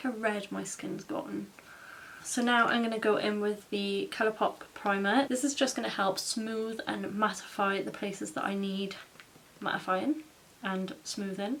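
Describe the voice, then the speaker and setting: A woman with a British accent at a moderate pace, with ordinary pitch variation and noticeable background noise. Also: medium pitch for a woman. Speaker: makeup vlogger. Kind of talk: tutorial. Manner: casual, chatty.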